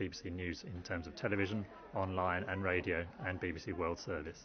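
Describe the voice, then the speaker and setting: A man speaks at a very deep, low pitch with fairly even intonation. Noticeable background noise runs underneath. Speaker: picture editor at a news website. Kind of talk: interview answer. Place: booth.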